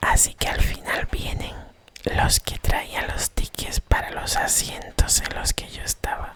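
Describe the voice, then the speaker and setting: Noticeable background noise surrounds this recording. A woman whispers at a fairly slow pace. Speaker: ASMR creator. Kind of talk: ASMR storytelling for sleep, travel anecdote. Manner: whispered, soft-spoken.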